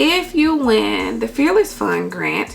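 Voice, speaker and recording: A woman is heard over noticeable background noise. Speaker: YouTuber giving business grant advice. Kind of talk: tutorial with screen recording. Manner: casual, many fillers.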